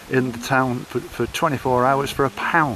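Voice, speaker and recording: With a Yorkshire accent, the voice sounds dry and free of echo, over light background noise. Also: man. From northern England (Hull). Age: 70s. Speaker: long-distance coastal walker and vlogger. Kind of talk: casual vlog chat. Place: open country. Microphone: phone near.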